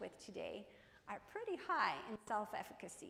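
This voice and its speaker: A woman's fairly high voice in a Croatian accent, at a moderate pace, with audible room echo. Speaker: keynote speaker, business professor. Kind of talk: keynote speech. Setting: stage with audience. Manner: animated.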